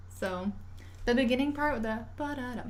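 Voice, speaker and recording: The speech moves at a moderate pace amid noticeable background noise and audible room echo. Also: woman. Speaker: violinist streamer. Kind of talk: casual livestream chat.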